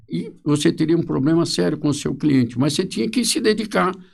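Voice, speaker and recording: Speaking at a fairly quick pace, a man with a fairly high pitch and vocal fry makes very wide pitch swings. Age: 70s. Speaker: social security lawyer. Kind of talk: podcast interview.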